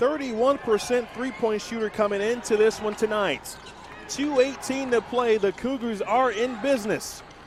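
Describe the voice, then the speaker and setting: An extremely high-pitched man's voice with fairly even intonation over noticeable background noise. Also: moderate pace. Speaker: basketball play-by-play announcer. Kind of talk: live basketball play-by-play call.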